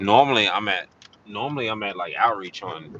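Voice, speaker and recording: The man sounds relaxed. Noticeable background noise runs behind him. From US South, Atlanta, Georgia. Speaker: live streamer, vlogger. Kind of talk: casual live-stream chat. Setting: in a car, driving. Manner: relaxed, repetitive, filler-heavy. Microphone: no external mic, phone mic, talking loud.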